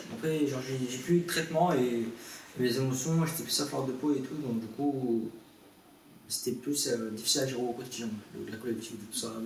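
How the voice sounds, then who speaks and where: A medium-pitched male voice at a moderate pace with ordinary pitch variation and long, frequent pauses, amid audible room echo and noticeable background noise. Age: 20s. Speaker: young adult with mental illness. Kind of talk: interview testimony. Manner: halting, many hesitations.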